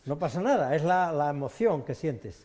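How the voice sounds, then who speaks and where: Dark, mellow male tone, its pitch moving in an ordinary way. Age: 60s. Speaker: hunter. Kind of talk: studio discussion. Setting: studio.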